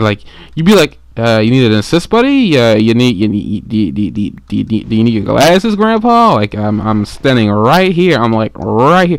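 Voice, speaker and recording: The speaker is a man with a medium pitch. His intonation is lively. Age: 20s. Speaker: gaming commentator. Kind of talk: gameplay commentary. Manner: fast; halting.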